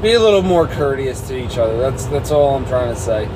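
A man's voice with noticeable background noise. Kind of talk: casual vlog chat. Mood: mildly annoyed, explaining. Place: car. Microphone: phone near.

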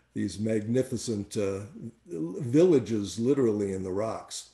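The dark, mellow voice moves at a moderate pace against a quiet background, with audible echo from the room. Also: man. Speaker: tour director. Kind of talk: webinar presentation. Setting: online webinar. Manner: enthusiastic. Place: home room. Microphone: webcam.

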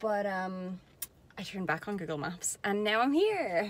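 Recorded with a dry sound and no echo, a woman talks at a fairly slow pace. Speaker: travel vlogger. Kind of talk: casual vlog chat. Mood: happy, relaxed. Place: car. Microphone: phone near.

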